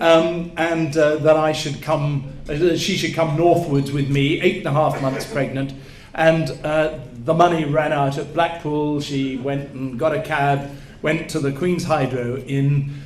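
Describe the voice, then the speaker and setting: Speaking at a fairly slow pace in a monotone, flat delivery, a man with a fairly high pitch comes through over noticeable background noise and audible room echo. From southern England. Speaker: after-dinner speaker. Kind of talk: after-dinner speech. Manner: halting.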